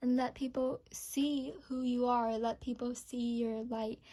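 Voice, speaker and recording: A woman speaks at a high pitch in a dark, mellow tone, flat and monotone, at a fairly slow pace. The recording is very clean, with a silent background. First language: not English. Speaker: tarot reader. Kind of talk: tarot reading to camera. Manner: hesitant, with fillers.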